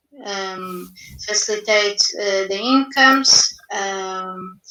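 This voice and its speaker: A woman with a non-native accent, a medium pitch, a bright, sharp tone and fairly even intonation. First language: not English. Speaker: youth panelist. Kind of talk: panel discussion. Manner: halting.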